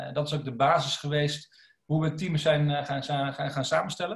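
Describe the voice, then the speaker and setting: Monotone and flat in intonation, a man talks at a moderate pace and a fairly high pitch. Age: 30s. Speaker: food company co-founder. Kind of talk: podcast interview.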